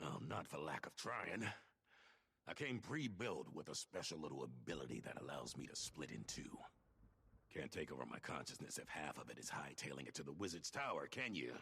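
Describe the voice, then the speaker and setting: Putting on a character voice, a man talks at a fairly quick pace with a very deep, low pitch. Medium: video game. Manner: wry, teasing.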